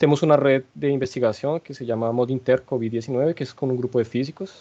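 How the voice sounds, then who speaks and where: A man speaks at a fairly quick pace in a medium pitch with fairly even intonation. His tone is dark and mellow. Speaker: statistics researcher. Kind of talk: lecture. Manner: hesitant, many fillers and restarts.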